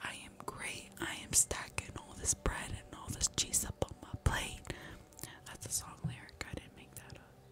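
Whispering at a moderate pace, a woman sounds playful as her loudness swings widely. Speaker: ASMR streamer. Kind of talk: casual talk to camera. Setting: live stream at home. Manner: playful, chaotic, joking. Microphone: studio mic.

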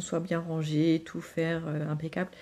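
A woman's fairly low-pitched voice. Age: 30s. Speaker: vlogger and mother. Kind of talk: casual vlog monologue. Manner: hesitant, many fillers.

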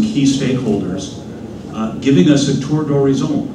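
Audible room echo and noticeable background noise come through while the man talks at a moderate pace. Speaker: panel moderator, think tank president. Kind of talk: moderated panel discussion. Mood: warm, appreciative. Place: hall. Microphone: podium.

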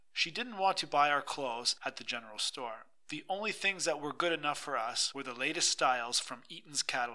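Using a dramatic tone and lively intonation, a man talks at a fairly quick pace. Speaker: audiobook narrator. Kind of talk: reading aloud, dramatic narration of a memoir-style short story. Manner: dramatic, expressive storytelling with wry humor.

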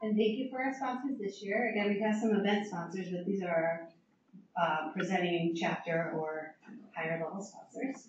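A woman's voice with ordinary pitch variation, audible room echo and noticeable background noise. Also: moderate pace. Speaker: association chapter leader; presenter. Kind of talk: event introduction. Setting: stage with audience. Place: meeting room.

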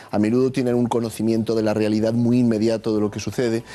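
A man's dark, mellow tone at a very fast pace. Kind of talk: analytical commentary. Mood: serious, measured. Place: studio.

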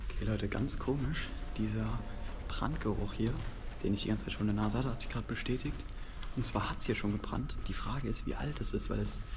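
A man speaks at a moderate pace with long, frequent pauses. Noticeable background noise is present. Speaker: urban explorer vlogger. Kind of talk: casual vlog commentary. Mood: curious, slightly tense. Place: tunnel cave. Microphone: phone near.

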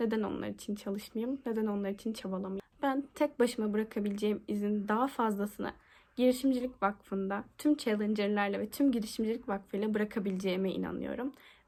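Her pitch is fairly high, with fairly even intonation and a dark, mellow tone. The woman talks at a fairly quick pace with hardly any pauses. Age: 20s. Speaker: university student. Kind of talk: application video monologue.

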